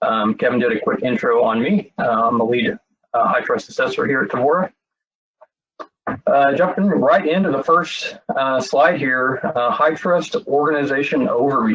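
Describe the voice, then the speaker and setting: A man with a Texas accent talks at a moderate pace in a fairly high pitch, his intonation lively and his loudness very even. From Texas, Frisco area. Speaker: cybersecurity assessor. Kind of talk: webinar presentation. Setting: online webinar. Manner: many filler words (um, uh).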